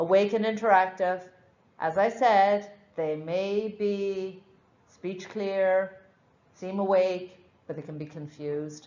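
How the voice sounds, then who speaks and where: A woman with an Irish accent speaks at a very slow pace, with long, frequent pauses and fairly even intonation. Her loudness swings widely, and there is audible room echo. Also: medium pitch for a woman. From Ireland. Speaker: nurse educator. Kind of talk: lecture. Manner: slurs words slightly.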